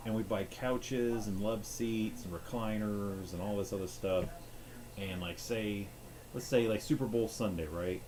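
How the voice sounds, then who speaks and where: With a dark, mellow tone, a man speaks at a moderate pace and with ordinary pitch variation amid audible room echo. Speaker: gaming streamer. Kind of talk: casual rambling monologue. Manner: halting.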